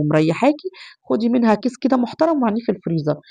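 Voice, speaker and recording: A woman talking at a fairly quick pace. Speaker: home cooking vlogger. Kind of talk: cooking tutorial. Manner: chatty.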